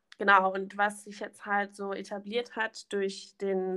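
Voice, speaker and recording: A normal speaking voice from a woman at medium pitch, fairly slow pace, very clean recording with a silent background. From Germany, Rhineland near Bonn (Königswinter). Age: 20s. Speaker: trainee primary school teacher. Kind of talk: podcast interview.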